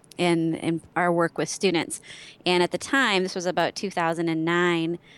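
A woman speaks in a fairly low voice. She has an Upper Midwest US accent. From Wisconsin. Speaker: social media strategist. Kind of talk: interview.

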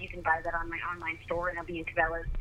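A woman with an American accent and ordinary pitch variation, over noticeable background noise. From Oregon. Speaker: professional hunter and outdoor show host. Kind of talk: casual interview.

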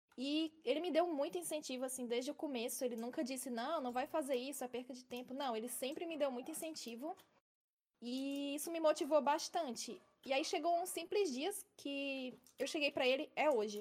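This woman talks in a high pitch at moderate speed, her pitch varying in an ordinary way. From Ceará, Brazil (Fortaleza). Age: 20s. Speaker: Minecraft streamer. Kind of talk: casual chat. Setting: live stream podcast.

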